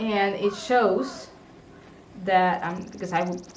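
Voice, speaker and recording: A woman of fairly low pitch with a non-native accent, amid audible room echo and noticeable background noise. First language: not English. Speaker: gaming streamer. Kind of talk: casual live stream commentary while gaming. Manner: hesitant, with frequent fillers and restarts.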